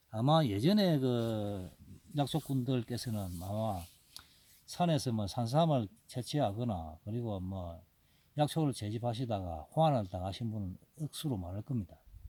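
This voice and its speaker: On a very clean recording with a silent background, a man with a medium pitch and a dark, mellow tone speaks at a fairly slow pace with lively intonation. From Gyeongsang province, South Korea. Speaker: wild ginseng forager and YouTuber. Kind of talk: casual informational talk. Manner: rambling, hesitant with fillers.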